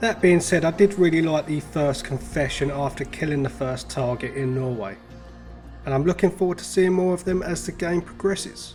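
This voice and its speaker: Over music in the background, a man speaks at a fairly high pitch with ordinary pitch variation. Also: moderate pace. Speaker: gaming YouTuber. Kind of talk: casual game review to camera.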